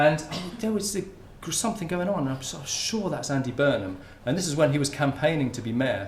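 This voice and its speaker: A man with a southern English accent talks fairly quickly with lively intonation. Room echo is audible. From Hertfordshire, England. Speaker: sociolinguistics researcher, lecturer. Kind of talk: academic talk. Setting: lecture hall with audience. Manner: halting, many repetitions.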